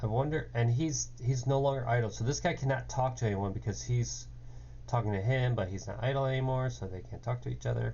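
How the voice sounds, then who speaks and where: Somewhat breathy and fairly low in pitch, a man talks at a fairly quick pace with very wide pitch swings, and room echo can be heard. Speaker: game developer. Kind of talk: coding tutorial. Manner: hesitant, many fillers.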